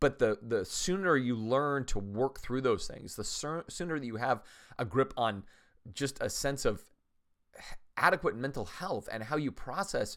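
A man with a plain, everyday voice speaks at medium pitch with lively intonation. The recording is very clean, with a silent background. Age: 50s. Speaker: pastor and podcast host. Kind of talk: solo podcast monologue. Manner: casual, conversational with filler words.

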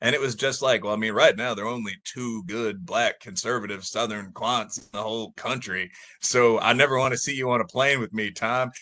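Over a quiet background, a man with a Midwestern American accent speaks at a fairly quick pace with hardly any pauses, his medium pitch carrying a bright, sharp tone and fairly even intonation. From US Midwest, Chicago area. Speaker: professor. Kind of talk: casual chat. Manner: talkative, rambling.

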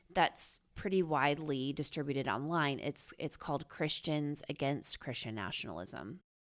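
The speaker is a woman. The recording is very clean, with a silent background. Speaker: podcast co-host. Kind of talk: casual podcast discussion.

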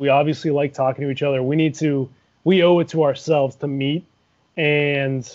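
A man's fairly high voice with an American accent, a fairly quick pace and fairly even intonation. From Cincinnati, Ohio. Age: 20s. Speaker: former college football player. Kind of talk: casual interview. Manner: halting.

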